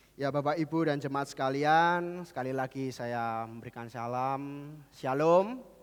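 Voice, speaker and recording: An unremarkable speaking voice from a man, fairly high in pitch with ordinary pitch variation, at a fairly slow pace with hardly any pauses, on a very clean recording with a silent background. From Central Java, Kudus. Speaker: pastor. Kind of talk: sermon. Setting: church.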